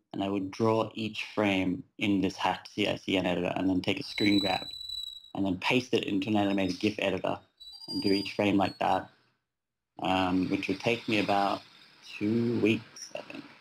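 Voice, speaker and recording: The voice has an Australian accent and a monotone, flat intonation. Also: man, fairly low pitch for a man, moderate pace. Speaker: web designer and developer. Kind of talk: casual interview.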